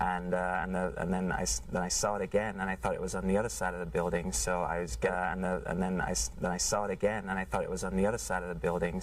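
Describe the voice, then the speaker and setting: A man talks at a very fast pace with lively intonation. His pitch is very deep and low, with vocal fry. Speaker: shooting eyewitness. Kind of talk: news interview. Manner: halting.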